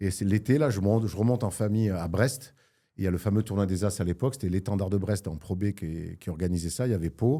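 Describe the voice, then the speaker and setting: A man speaks at a fairly quick pace in a fairly low pitch with ordinary pitch variation. His tone is dark and mellow, and the recording is very clean with a silent background. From Marseille, southern France. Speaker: sports journalist. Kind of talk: casual chat.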